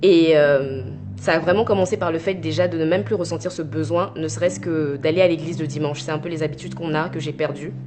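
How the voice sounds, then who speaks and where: Over music in the background and audible room echo, a woman with a very deep, low pitch talks at a very fast pace with ordinary pitch variation. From Côte d'Ivoire (Abidjan), teens in Normandy, France. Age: 20s. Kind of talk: testimony. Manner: hesitant, many filler pauses.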